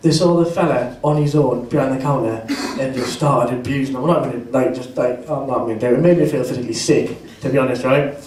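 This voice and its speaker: A man with a strong Geordie accent talks at a very fast pace with ordinary pitch variation. Audible room echo and noticeable background noise fill the recording. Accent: northeast English (Geordie), strong. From northeast England. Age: 20s. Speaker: student stand-up comedian. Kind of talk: stand-up. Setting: stage with audience.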